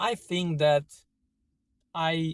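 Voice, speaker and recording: A very slow, monotone man's voice with flat intonation, fairly high in pitch, in an Italian accent, with a dry, close sound and no echo. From Italy, Emilia-Romagna. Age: 30s. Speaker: vlogger. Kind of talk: opinion monologue. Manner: halting.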